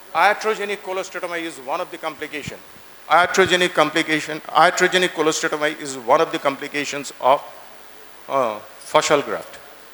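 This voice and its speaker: Against noticeable background noise, a high-pitched man speaks at a fairly quick pace with ordinary pitch variation. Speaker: ENT surgeon lecturer. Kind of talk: lecture. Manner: fast; halting.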